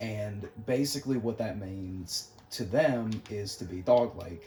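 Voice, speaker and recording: Noticeable background noise sits behind a soft-spoken man. His pitch is fairly low, with ordinary variation. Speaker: gaming youtuber talking philosophy. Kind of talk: casual gameplay commentary. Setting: at home, late at night. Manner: soft-spoken, talking quietly; hesitant, many fillers.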